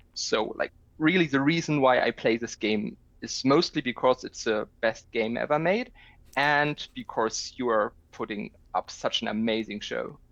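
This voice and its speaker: A man speaks with a German accent at a medium pitch and a moderate pace. His intonation is lively, and the background is quiet. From Germany. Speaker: video game player. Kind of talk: casual chat.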